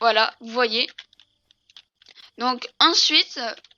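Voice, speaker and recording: In a very clean recording with a silent background, a woman speaks in a high pitch with a bright, sharp tone. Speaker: gaming YouTuber. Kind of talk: gameplay tutorial. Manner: hesitant, many fillers.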